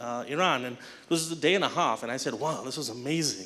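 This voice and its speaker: Speaking rather briskly, a man lets his pitch vary in a normal way. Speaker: conference organizer presenting thanks. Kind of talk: conference stage speech. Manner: fast.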